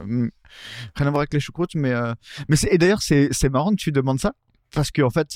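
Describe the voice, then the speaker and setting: In a very clean recording with a silent background and a dry, close sound with no echo, a man with a fairly high voice and ordinary pitch variation talks fairly quickly, with long, frequent pauses. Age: 30s. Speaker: electronic music producer. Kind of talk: casual chat.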